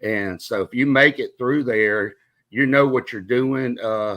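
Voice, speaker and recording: Spoken with a Southern US accent and fairly even intonation, the recording is very clean with a silent background. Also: man. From Mississippi, Meridian. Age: 50s. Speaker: retired air traffic controller, podcaster. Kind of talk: interview.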